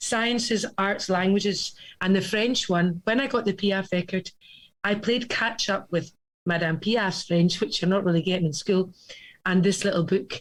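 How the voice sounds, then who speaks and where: A woman speaks at a medium pitch and moderate pace, somewhat breathy, with ordinary pitch variation and very even loudness. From Scotland. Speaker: cabaret singer. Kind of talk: casual chat.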